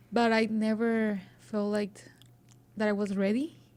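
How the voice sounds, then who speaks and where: A woman speaks at a fairly high pitch with a Spanish accent. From Mexico, coast. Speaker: student journalist and podcaster. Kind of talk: interview. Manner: halting.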